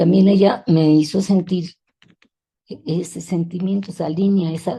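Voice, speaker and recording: Her voice is fairly low with a dark, mellow tone, and this woman speaks at a fairly slow pace with fairly even intonation. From Mexico City. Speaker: feminist educator and teacher. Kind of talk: interview. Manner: halting.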